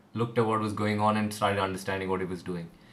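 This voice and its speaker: Audible room echo surrounds a man speaking at fairly low pitch. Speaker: music producer and YouTuber. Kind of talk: live stream Q&A. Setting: livestream on camera at home. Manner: fast; hesitant, many fillers.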